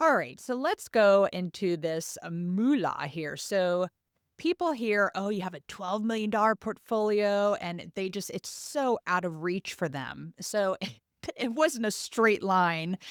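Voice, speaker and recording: A woman's plain, everyday voice at a medium pitch, with an American accent, lively intonation and a fairly slow pace, in a dry, close sound with no echo on a very clean recording with a silent background. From United States. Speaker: podcast host. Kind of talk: podcast interview.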